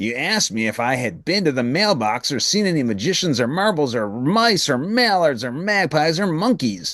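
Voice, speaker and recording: Putting on a character voice, a man with a fairly high pitch makes very wide pitch swings and leaves hardly any pauses. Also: moderate pace. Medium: read story.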